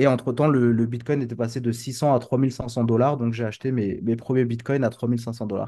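A man with a dark, mellow tone and medium pitch speaks at a moderate pace in a flat monotone, with hardly any pauses. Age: 30s. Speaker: crypto trader and entrepreneur. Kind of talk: casual interview. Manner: hesitant, many fillers.

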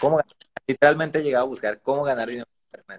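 Fairly high in pitch, a man's voice comes through in a dry, close sound with no echo. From Mexico, Veracruz. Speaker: digital marketer. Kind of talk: interview on a live stream.

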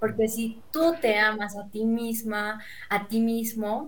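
Speaking at a fairly slow pace, a woman with a fairly high pitch sounds somewhat breathy against audible room echo. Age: 20s. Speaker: student. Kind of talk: casual chat.

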